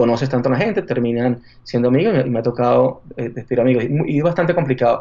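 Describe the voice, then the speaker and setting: Here a man with a Venezuelan accent speaks at a fairly quick pace. His pitch is medium and his intonation fairly even. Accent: Venezuelan Spanish accent, kept. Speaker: marketing executive. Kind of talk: interview. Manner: halting.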